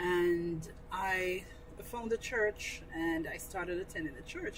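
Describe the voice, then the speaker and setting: Against noticeable background noise, a woman of medium pitch speaks with a Jamaican accent. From rural Jamaica. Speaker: guest, cricket club member. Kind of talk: casual interview chat. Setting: studio.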